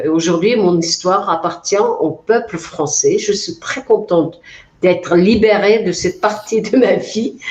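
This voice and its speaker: Over noticeable background noise, a woman with a Mongolian accent talks at a fairly slow pace, with a medium pitch and ordinary pitch variation. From Mongolia, Altai region. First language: Mongolian (speaking French). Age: 40s. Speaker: author. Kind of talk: interview. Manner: hesitant, many fillers.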